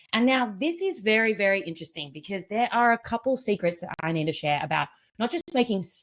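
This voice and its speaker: Her pitch swinging very widely, a woman moves at a fairly quick pace. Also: hardly any pauses. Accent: Australian. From Australia. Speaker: event MC and community builder. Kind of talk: live online event hosting. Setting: live online event. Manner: animated.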